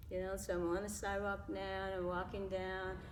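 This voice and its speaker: Moderately paced speech from a woman with an American accent, medium in pitch and monotone, flat in intonation, amid noticeable background noise and audible room echo. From New York (Harlem), later California. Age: 70s. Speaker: interview guest. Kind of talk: casual interview, personal testimony. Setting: local gym.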